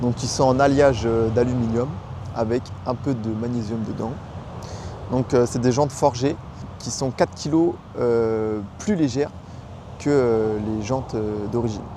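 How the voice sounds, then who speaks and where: Fairly slow and marked by long, frequent pauses, the speech has fairly even intonation over noticeable background noise. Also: man, medium pitch for a man. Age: 20s. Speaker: car YouTuber. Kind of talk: casual car review vlog. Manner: hesitant, many fillers.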